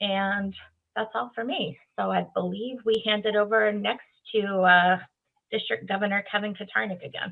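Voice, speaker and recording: Here a woman speaks at a medium pitch. Her pitch varies in an ordinary way. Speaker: Rotary district officer. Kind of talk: training presentation. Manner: fast.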